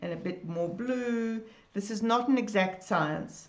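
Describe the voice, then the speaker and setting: Audible room echo hangs around speech that proceeds at a moderate pace. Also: woman. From South Africa. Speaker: art teacher. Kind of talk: live-streamed drawing tutorial. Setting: Facebook live video. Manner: warm, enthusiastic.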